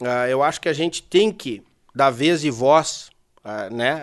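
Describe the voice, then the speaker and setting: Speaking with a Rio Grande do Sul accent, a man uses a fairly high pitch and ordinary pitch variation. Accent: southern Brazilian gaúcho Portuguese. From Brazil, Porto Alegre (Rio Grande do Sul). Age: 30s. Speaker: horse trainer. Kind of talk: casual chat.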